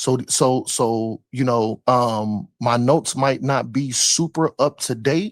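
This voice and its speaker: A man speaks at a very slow pace with very even loudness. The recording is very clean with a silent background and a dry, close sound with no echo. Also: medium pitch for a man, ordinary pitch variation. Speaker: religious debate panelist. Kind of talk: panel debate. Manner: halting, repetitive.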